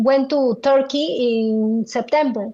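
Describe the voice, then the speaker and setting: A woman with a strong Spanish accent, at a very slow pace. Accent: thick Spanish. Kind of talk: interview. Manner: halting, many fillers.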